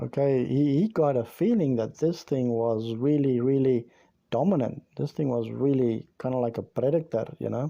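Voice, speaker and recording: A man talks at a moderate pace with a South African accent. His voice is medium in pitch. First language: Afrikaans. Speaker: YouTube storyteller. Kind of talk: storytelling. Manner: halting.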